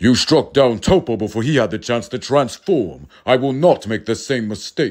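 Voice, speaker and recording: A man's put-on character voice at a medium pitch and moderate pace, with hardly any pauses. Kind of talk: parody dub, comic overacting. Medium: fan dub. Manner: solemn and grandiose, then crude.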